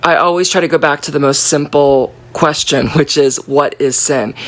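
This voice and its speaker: Noticeable background noise runs behind a woman with a very deep, low pitch. She speaks at a fairly quick pace in an animated tone. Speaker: Bible study leader. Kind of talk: Bible study talk.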